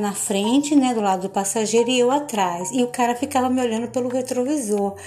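A woman's fairly high-pitched voice with ordinary pitch variation, over noticeable background noise. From Bahia, Recôncavo Baiano, Brazil. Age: 50s. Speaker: podcaster telling her life story. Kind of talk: personal storytelling monologue.

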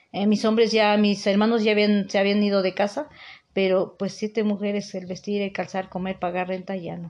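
The background is quiet. A woman talks at a moderate pace with monotone, flat intonation. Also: medium pitch for a woman. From Mexico, Puebla state (Teziutlán). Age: 50s. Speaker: house cleaner. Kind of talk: interview testimony.

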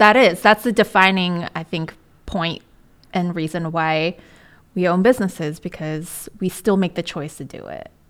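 In a very clean recording with a silent background, a woman with an unremarkable speaking voice and fairly low pitch talks at a moderate pace, with ordinary pitch variation and big swings in loudness. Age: 30s. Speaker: podcast host and small business owner. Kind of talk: casual interview chat.

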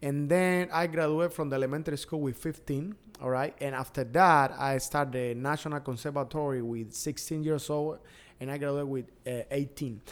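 A man's fairly quick speech with fairly even intonation. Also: fairly high pitch for a man. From Cuba, Pinar del Río. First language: Spanish. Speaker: DJ and entertainer. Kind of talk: casual interview. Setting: studio, video podcast.

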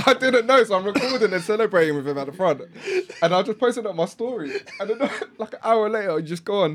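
A high-pitched man's voice, very fast and lively in intonation, over noticeable background noise. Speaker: podcast co-host. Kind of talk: casual banter.

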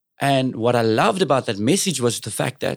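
A man with a South African accent at a moderate pace, on a very clean recording with a silent background. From South Africa, Cape Flats (Cape Town). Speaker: singer and entertainer. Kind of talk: casual interview chat.

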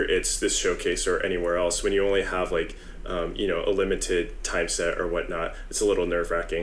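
The speaker has an American accent and a fairly quick pace. Hardly any pauses break the speech. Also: man. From San Jose, California. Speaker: rapper. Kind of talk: interview.

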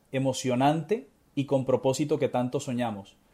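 This man's fairly high voice has a dark, mellow tone. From Colombia, Barranquilla. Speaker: motivational speaker and author. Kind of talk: interview. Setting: video call.

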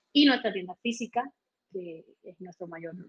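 Somewhat breathy speech at a fairly slow pace, with ordinary pitch variation and a dry, close sound with no echo. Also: woman. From Cuba, Holguín. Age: 30s. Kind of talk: interview.

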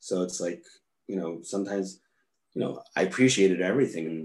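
A man with a New York accent speaks fairly quickly in a very deep, low voice with ordinary pitch variation. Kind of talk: casual interview chat.

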